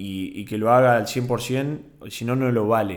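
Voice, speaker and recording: A man speaks with a Rioplatense accent and fairly even intonation, and room echo can be heard. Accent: Argentine Rioplatense Spanish. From Argentina, Bahía Blanca. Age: 20s. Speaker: podcast host, university student. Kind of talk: solo casual monologue.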